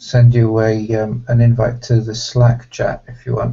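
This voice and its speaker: Somewhat breathy, the voice has a British accent and moves at a fairly slow pace with monotone, flat intonation. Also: man. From Iceland, British parents. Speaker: software project organiser. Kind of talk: casual chat.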